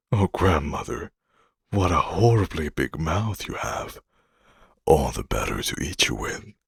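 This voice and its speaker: With vocal fry and a very deep, low pitch, a man speaks at a fairly slow pace with very wide pitch swings and long, frequent pauses, the sound dry and close with no echo. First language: not English. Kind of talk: bedtime story reading. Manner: calm, relaxing.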